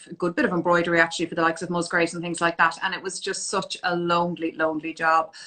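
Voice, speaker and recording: With a Dublin accent, a woman speaks very fast with hardly any pauses, her fairly low voice flat and monotone. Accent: Dublin Irish. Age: 40s. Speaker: fashion business owner and image consultant. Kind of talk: interview on a live stream.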